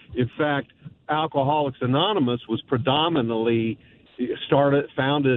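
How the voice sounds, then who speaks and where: Behind a man speaking at a medium pitch with ordinary pitch variation, background noise is noticeable. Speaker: caller. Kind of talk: casual chat. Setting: phone call.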